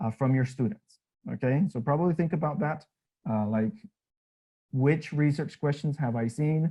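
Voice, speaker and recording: With long, frequent pauses, a man speaks in a somewhat breathy voice of fairly high pitch and a dark, mellow tone, his pitch varying in an ordinary way. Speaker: teacher trainer. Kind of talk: workshop presentation. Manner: fast.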